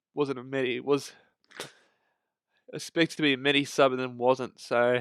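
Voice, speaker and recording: A man with an Australian accent talks at a fairly quick pace and a fairly high pitch. The recording is very clean and dry, close with no echo, over a silent background. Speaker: fantasy football content creator. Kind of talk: casual commentary on fantasy team results. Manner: hesitant, many fillers.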